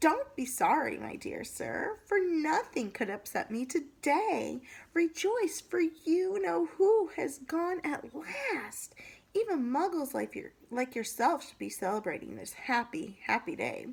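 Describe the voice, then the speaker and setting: A woman does a squeaky, put-on character voice at a high pitch and fairly slow pace, with very wide pitch swings. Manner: cheerful, delighted.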